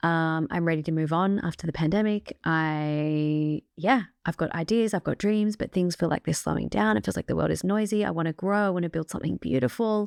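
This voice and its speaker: This woman has an Australian accent and lively intonation. Her pace is fairly quick. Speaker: podcast host. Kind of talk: motivational podcast monologue. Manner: casual, chatty with fillers.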